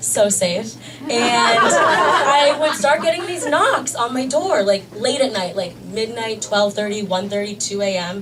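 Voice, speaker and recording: A woman with an American accent and a fairly high pitch, lively in intonation, with audible room echo and crowd noise in the background. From US East Coast. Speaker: stand-up comedian. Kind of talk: stand-up. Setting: stage with audience. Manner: fast.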